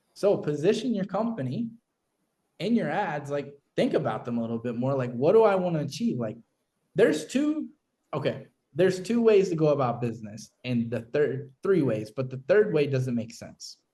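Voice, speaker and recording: A man with an American accent speaks at a fairly high pitch in a dark, mellow, somewhat breathy tone, with very wide pitch swings. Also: moderate pace. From Kentucky, Louisville. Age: 30s. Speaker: marketing agency owner and business coach. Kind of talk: live business walkthrough / casual teaching. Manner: animated, filler-heavy casual talk.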